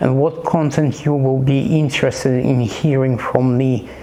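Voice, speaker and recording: With noticeable background noise and audible room echo, a man speaks in a non-native accent. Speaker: watch reviewer. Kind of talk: casual product review. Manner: halting, many repetitions.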